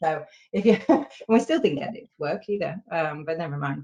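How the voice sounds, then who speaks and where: Talking at a moderate pace, a woman speaks in a British accent. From Britain. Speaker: software testing consultant. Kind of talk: casual chat. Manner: halting, many fillers.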